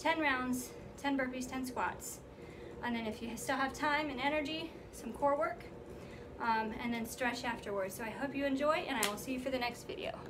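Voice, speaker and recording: Noticeable background noise runs under this recording. A woman speaks at a moderate pace in a high pitch with ordinary pitch variation. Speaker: fitness instructor. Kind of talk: tutorial. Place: home room. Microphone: camera far.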